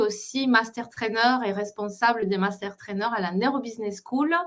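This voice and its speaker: With a Spanish accent, a woman talks at a fairly high pitch using lively intonation. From Colombia. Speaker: entrepreneur coach. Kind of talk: interview. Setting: online live stream.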